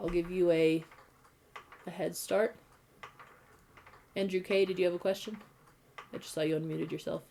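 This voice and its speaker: Fairly quick speech with fairly even intonation, broken by long, frequent pauses, over noticeable background noise. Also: woman, fairly low pitch for a woman. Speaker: high school math and physics teacher. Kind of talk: online class lecture.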